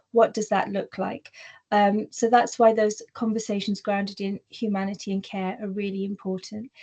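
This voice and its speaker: Against a quiet background, a woman talks at a moderate pace in a monotone, flat intonation, her tone dark and mellow and somewhat breathy. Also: medium pitch for a woman. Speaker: workplace diversity speaker. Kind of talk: webinar presentation. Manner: occasional word stumbles and fillers.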